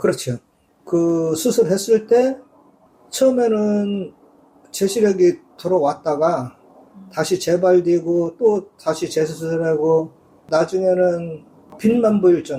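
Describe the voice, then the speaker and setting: Speaking very slowly with long, frequent pauses, a man uses a high pitch and ordinary pitch variation. His tone is dark and mellow. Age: 60s. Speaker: blind massage clinic owner. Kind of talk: interview.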